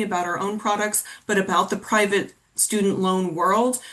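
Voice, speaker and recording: Her voice an unremarkable speaking voice, a woman talks at a moderate pace with a fairly high pitch. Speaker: college financial aid counselor. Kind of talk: webinar presentation. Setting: webinar.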